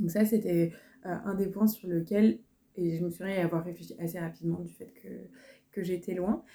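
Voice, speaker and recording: With a dark, mellow tone and fairly low pitch, a woman speaks at a moderate pace with fairly even intonation, big swings in loudness, and long, frequent pauses. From France. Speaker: career counsellor. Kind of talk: interview conversation.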